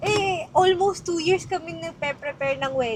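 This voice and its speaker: A woman speaks in an animated tone at a moderate pace. Noticeable background noise runs under her voice. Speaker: vlogger. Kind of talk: casual chat.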